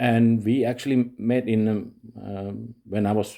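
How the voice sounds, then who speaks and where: A man's dark, mellow voice in a Finnish accent, with ordinary pitch variation, on a very clean recording with a silent background. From Finland. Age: 40s. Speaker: vlogger. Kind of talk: personal monologue vlog. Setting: home recording at night. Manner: halting, many fillers.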